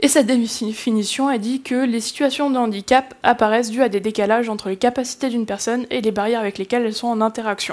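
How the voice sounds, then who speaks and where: Fairly high in pitch, a woman speaks at a very fast pace with fairly even intonation. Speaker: conference speaker on game accessibility. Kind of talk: conference talk. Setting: stage with audience. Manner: hesitant, many fillers.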